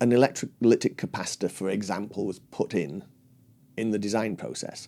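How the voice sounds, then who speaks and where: In a very clean recording with a silent background, a man with fairly low pitch speaks in a dark, mellow tone with vocal fry. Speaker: loudspeaker designer. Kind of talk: interview answer. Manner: articulate.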